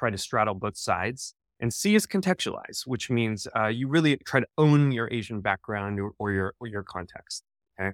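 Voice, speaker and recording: A man with an American accent talks at a moderate pace in a normal speaking voice, medium in pitch with ordinary pitch variation. The recording is very clean and dry, close-miked with no echo and a silent background. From United States. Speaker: professor. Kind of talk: lecture. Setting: stage with audience.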